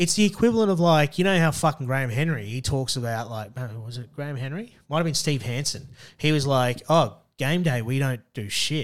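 On a very clean recording with a silent background, a man with an Australian accent and a fairly high pitch speaks at a fairly quick pace. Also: lively intonation. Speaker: podcast co-host, rugby commentator. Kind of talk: casual chat. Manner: animated.

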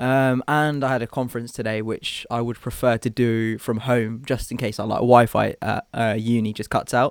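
In a British accent, a man speaks at a moderate pace and medium pitch with flat, monotone intonation and hardly any pauses, the sound dry and close with no echo. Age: 20s. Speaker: medical student podcast co-host. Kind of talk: casual chat. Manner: hesitant, many fillers.

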